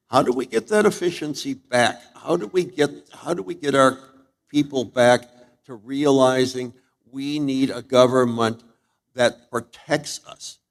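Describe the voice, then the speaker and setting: A man with an American accent speaks loudly at a medium pitch. His pitch varies in an ordinary way. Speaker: political candidate, surgeon. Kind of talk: candidate forum answer.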